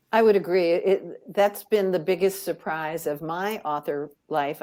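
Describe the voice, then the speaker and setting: On a very clean recording with a silent background, a woman speaks in a dark, mellow tone with ordinary pitch variation. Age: 70s. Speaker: radio show host and author. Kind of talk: casual panel interview. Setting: recorded in front of a live audience.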